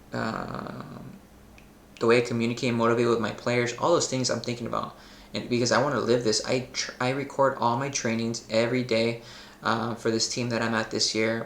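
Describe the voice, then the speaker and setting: Noticeable background noise behind a man with an American accent, medium pitch and a fairly quick pace. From Los Angeles, US. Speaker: football coach. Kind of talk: casual monologue. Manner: animated.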